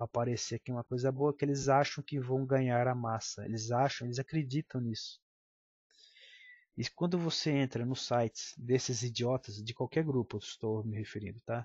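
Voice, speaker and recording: A man talks at a moderate pace with a medium pitch. His voice is somewhat breathy, with fairly even intonation. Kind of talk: political commentary monologue.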